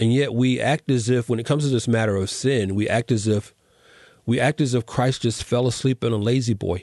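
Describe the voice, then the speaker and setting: An ordinary speaking voice: a man with an American accent, medium pitch and fairly even intonation, fairly quick pace, very even loudness, dry, close sound with no echo and a quiet background. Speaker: podcast host. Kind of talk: casual interview chat.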